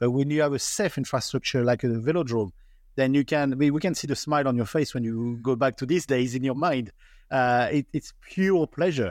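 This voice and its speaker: Very clean, with a silent background, the recording holds a man's medium-pitched voice. He talks at a fairly quick pace with ordinary pitch variation. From France. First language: French. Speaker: podcast host. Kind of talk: interview.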